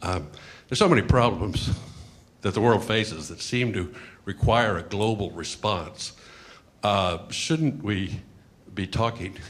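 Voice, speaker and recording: Speech from a man, moderate in pace, with ordinary pitch variation. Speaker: audience member. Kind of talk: audience question. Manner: loud.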